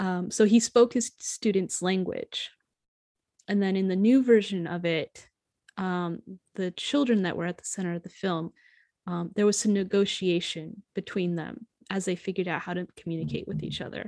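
A woman's medium-pitched voice in a dark, mellow tone with an American accent, fairly even intonation, moderate pace and big swings in loudness, dry and close with no echo on a very clean recording with a silent background. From US Midwest, rural Ohio. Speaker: podcast host, author. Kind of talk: casual chat. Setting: podcast recording.

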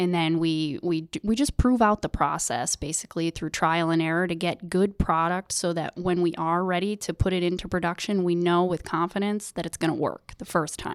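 A woman's fairly low-pitched, unremarkable speaking voice with an American accent, fairly even intonation, a moderate pace and hardly any pauses, in a very clean recording with a silent background and a dry, close sound with no echo. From US, upstate New York. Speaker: manufacturing supervisor. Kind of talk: interview.

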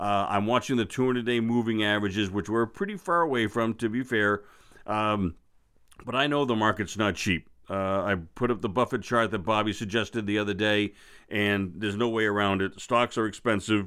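Speaking at a fairly quick pace with an American accent, a man has a fairly low pitch, very even loudness and fairly even intonation. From Boston. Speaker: investing podcast host. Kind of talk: solo market commentary. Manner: hesitant, many fillers.

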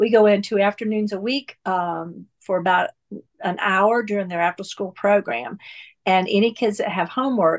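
With an American accent, a woman in an unremarkable speaking voice talks at a moderate pace and medium pitch, her pitch varying in an ordinary way, in a dry, close recording with no echo and a quiet background. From US South, North Carolina. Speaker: church volunteer. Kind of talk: interview conversation.

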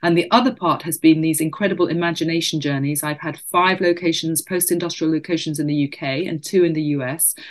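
Talking at a very fast pace with hardly any pauses, a woman keeps a fairly low pitch and fairly even intonation. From Spain. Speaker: professor and author. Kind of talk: interview.

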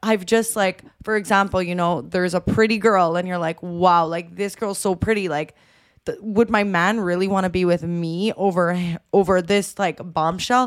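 A woman with an ordinary speaking voice talks at a moderate pace and medium pitch, with fairly even intonation and hardly any pauses, in a very clean recording with a silent background. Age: 20s. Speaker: podcast co-host. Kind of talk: casual chat.

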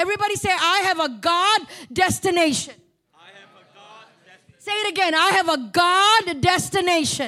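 A woman's raised, projected voice, extremely high and animated, at a moderate pace with ordinary pitch variation. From Malaysia. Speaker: guest preacher and mental health speaker. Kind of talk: sermon. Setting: church.

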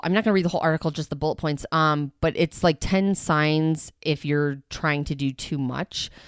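A woman speaks with fairly low pitch and ordinary pitch variation. The recording is very clean with a silent background, and the sound is dry and close with no echo. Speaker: podcaster. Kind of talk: casual solo podcast monologue. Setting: home recording with computer and microphone. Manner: fast talker; restless, anxious energy.

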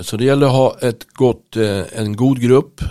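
The recording is very clean, and the background is silent. A man speaks fairly slowly. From Stockholm, Sweden (Bromma). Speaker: teaching assistant and church member. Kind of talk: interview. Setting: studio.

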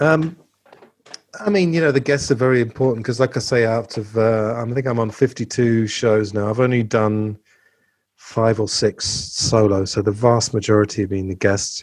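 This man has a normal speaking voice at medium pitch. He talks at a moderate pace with ordinary pitch variation. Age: 40s. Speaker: podcast host and English teacher. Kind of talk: casual chat.

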